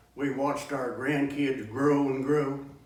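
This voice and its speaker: The speaker has an American accent and talks at a very slow pace. Noticeable background noise is present. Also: man. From Kansas. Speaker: cowboy poet. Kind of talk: poetry reading.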